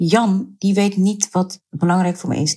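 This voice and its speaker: Her voice is somewhat breathy, with a dark, mellow tone and medium pitch. The woman keeps a fairly slow pace and fairly even intonation. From Netherlands, Surinamese Hindustani family. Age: 30s. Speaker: activist and writer. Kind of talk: interview.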